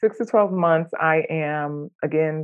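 A woman speaks with a North Carolina accent. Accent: North Carolina Southern American. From US South, Jacksonville, North Carolina. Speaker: clinical social worker and therapist. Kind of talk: coaching session conversation.

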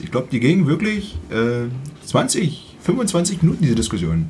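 Speaking at a fairly slow pace, a man sounds somewhat breathy, and his pitch swings very widely. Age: 30s. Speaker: music podcast co-host. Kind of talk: casual chat.

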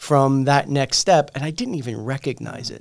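His pace is moderate, with fairly even intonation. This man has a plain, everyday voice pitched fairly high. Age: 40s. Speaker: podcast host. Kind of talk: interview.

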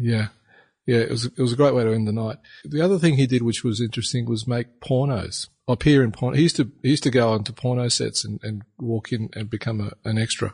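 With an Australian accent, a man speaks very fast in a somewhat breathy voice of medium pitch and ordinary pitch variation, the background quiet. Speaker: podcast co-host. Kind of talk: casual chat.

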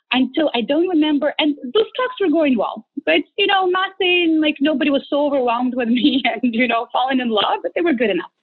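The speech moves at a fairly quick pace with lively intonation and few pauses. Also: woman, high pitch for a woman.

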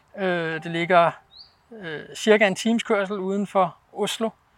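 Here a man speaks with fairly even intonation. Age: 40s. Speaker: snowpark owner and snowboarder. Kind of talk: interview. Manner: hesitant, many fillers.

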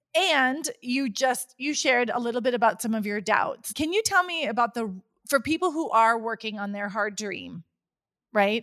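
A woman's high voice with a bright, sharp tone and lively intonation. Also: moderate pace. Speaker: podcast host and coach. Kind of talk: podcast interview.

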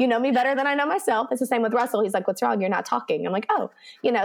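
Someone talks with a Texan accent and lively intonation. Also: woman. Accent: Texan American. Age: 30s. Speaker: elementary school teacher. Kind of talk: casual chat.

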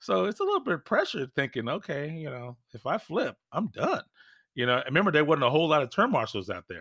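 With an American accent, a man talks at a very fast pace in a bright, sharp tone with vocal fry and very wide pitch swings, the sound dry and close with no echo. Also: fairly high pitch for a man. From California. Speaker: former pro RC racer. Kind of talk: casual interview. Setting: home podcast studio, remote.

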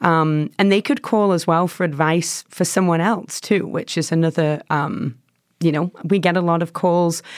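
A woman with a strong English accent and a fairly low pitch speaks at a fairly slow pace in a very clean recording with a silent background. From England. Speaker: nonprofit staff, former social worker. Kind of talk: casual interview chat.

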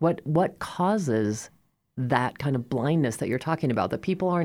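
In a General American accent, a woman speaks with a very deep, low pitch and a dark, mellow tone. Her intonation is lively, her pace fairly quick, and the recording very clean with a silent background. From Colorado (Fort Collins). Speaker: community radio host. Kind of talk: interview.

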